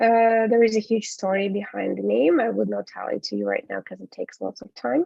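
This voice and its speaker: A woman with a Ukrainian accent. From Ukraine. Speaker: English teacher and business trainer. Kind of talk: webinar presentation. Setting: online webinar. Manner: hesitant with frequent fillers.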